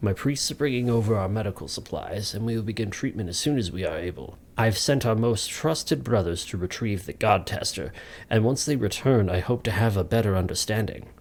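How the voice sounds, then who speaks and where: A man speaks in a put-on character voice, medium in pitch with ordinary pitch variation. His delivery is strained and fairly quick. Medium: read story.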